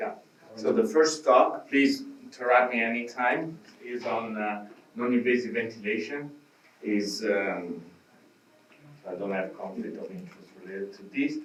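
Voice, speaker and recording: With an Italian accent, a man at medium pitch speaks at a moderate pace with ordinary pitch variation, big swings in loudness and long, frequent pauses, over noticeable background noise and audible room echo. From Italy. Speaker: physician lecturer. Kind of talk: lecture.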